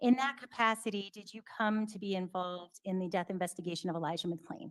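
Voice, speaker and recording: The voice runs at a very fast pace, with big swings in loudness. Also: woman, medium pitch for a woman, ordinary pitch variation. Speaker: trial attorney. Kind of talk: courtroom examination. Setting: courtroom.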